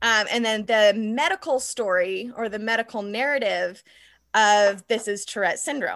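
With an American accent, a woman speaks at a moderate pace in a fairly high pitch with ordinary variation, against a quiet background. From southern Nevada, US. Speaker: author. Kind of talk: casual interview chat. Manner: vocal tics: sudden screams, gasps, high-pitched noises.

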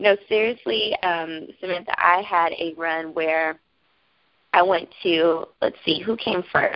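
A woman with a fairly low pitch speaks at a very slow pace with ordinary pitch variation. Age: 30s. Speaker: makeup artist and motivational author. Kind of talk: interview.

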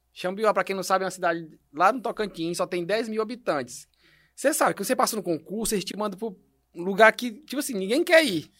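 Over a very clean recording with a silent background, a man talks at a very fast pace. His pitch is high and his intonation lively. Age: 30s. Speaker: entrepreneur, company director. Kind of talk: podcast interview.

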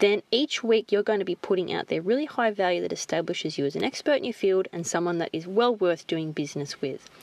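A very fast woman with an Australian accent, lively intonation and medium pitch, in a dry, close sound with no echo. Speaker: podcast host, marketing coach. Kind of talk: solo podcast monologue.

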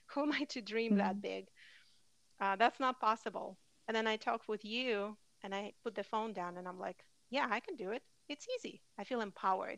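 In a very clean recording with a silent background, a normal speaking voice is heard. It goes at a fairly quick pace, and its pitch varies in an ordinary way. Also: woman, fairly high pitch for a woman. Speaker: podcast host. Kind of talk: casual chat.

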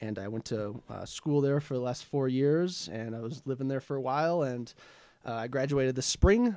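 The speaker has a Minnesota accent, a moderate pace and ordinary pitch variation. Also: man, medium pitch for a man. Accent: Upper Midwest (Minnesota) American. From Minnesota, Twin Cities area. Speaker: recent college graduate. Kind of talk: casual chat.

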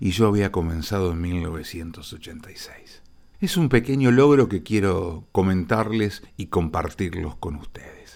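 Very deep and low in pitch, a man speaks at a very slow pace with ordinary pitch variation in a very clean recording against a silent background. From Argentina, Rosario. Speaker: radio host. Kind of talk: radio broadcast narration.

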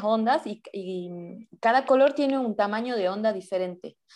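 Against a quiet background, a woman with a plain, everyday voice talks at a fairly slow pace, her fairly high pitch carried by lively intonation. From Salta, Argentina. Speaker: amateur photographer and video artist. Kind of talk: interview.

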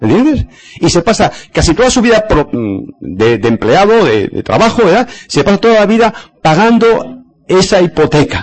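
A high-pitched man at a moderate pace, his pitch swinging very widely, his loudness very even. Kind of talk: lecture.

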